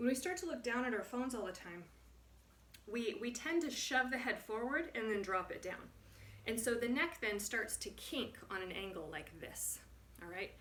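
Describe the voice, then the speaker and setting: With an American accent, a woman of fairly high pitch uses very wide pitch swings at a moderate pace, with audible room echo. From US Midwest. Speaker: movement and posture instructor. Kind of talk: tutorial. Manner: stuttering; casual.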